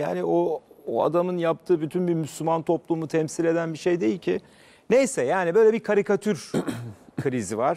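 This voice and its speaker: With a dark, mellow tone and lively intonation, a man talks at a moderate pace. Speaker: TV debate host. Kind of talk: commentary. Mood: indignant, emphatic. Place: studio. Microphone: lapel.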